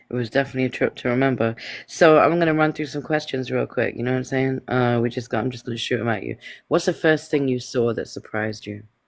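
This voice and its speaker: The man talks very fast at a medium pitch. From Palestinian background. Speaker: livestream show host. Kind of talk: casual interview. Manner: animated.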